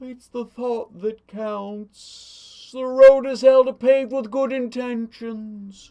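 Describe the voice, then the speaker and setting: In a put-on character voice, a high, female-sounding voice talks at a very slow pace with hardly any pauses. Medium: solo performance.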